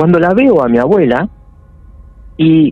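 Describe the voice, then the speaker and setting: The speaker uses a Rioplatense accent, with lively intonation and a moderate pace. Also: man. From Buenos Aires, Argentina. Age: 40s. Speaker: caller sharing paranormal story. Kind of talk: personal testimony.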